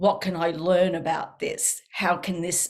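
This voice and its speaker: The speaker is a woman with a fairly low pitch. She talks at a moderate pace with fairly even intonation. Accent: strong Australian. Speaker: counselor and author. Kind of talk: interview.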